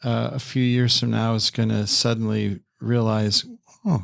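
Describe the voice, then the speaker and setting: In an ordinary speaking voice, a man talks fairly slowly at medium pitch with fairly even intonation, recorded very clean with a silent background and a dry, close sound with no echo. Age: 60s. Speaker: retired pastor. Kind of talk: casual interview.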